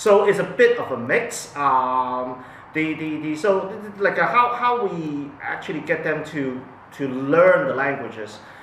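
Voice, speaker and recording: Amid audible room echo and noticeable background noise, a man speaks slowly at a fairly high pitch, with lively intonation and big swings in loudness. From Hong Kong. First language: Cantonese. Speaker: parent. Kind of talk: interview testimony. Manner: halting, many fillers and repetitions.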